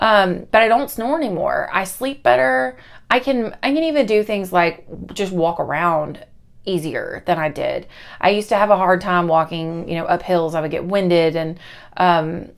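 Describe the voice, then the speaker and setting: An animated woman's voice at a medium pitch, lively in intonation, on a very clean recording with a silent background. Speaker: vlogger, school librarian. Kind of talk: casual vlog update. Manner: fast.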